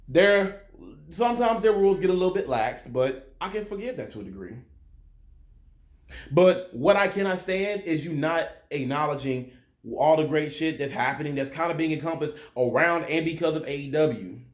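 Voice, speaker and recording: Some room echo is audible as a man with a fairly high pitch speaks at a fairly quick pace with lively intonation. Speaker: wrestling commentary youtuber. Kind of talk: opinion rant video review. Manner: animated, passionate.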